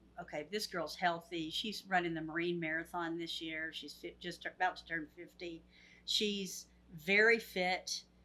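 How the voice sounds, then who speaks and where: A woman's bright, sharp voice, fairly low in pitch, with fairly even intonation and a fairly slow pace. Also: long, frequent pauses, big swings in loudness. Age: 60s. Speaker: nurse. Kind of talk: casual chat.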